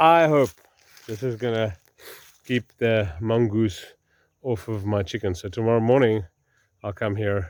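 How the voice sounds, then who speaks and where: Speaking in an Afrikaans South African accent, a man with a fairly low pitch and ordinary pitch variation goes at a fairly slow pace, with big swings in loudness and long, frequent pauses. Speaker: farmer. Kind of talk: casual vlog narration. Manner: halting, many fillers.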